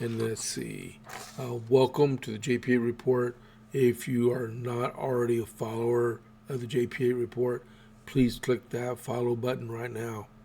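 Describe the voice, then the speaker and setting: At a moderate pace, a man with an American accent talks in a medium pitch with monotone, flat intonation. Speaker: podcast host. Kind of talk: solo political podcast. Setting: home studio. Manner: halting, many fillers.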